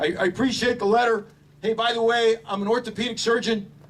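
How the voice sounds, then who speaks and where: A high-pitched man with an American accent at a fairly quick pace. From Washington DC area. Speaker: Marine officer, veteran, ceremony speaker. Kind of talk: memorial speech. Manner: halting, with many repetitions.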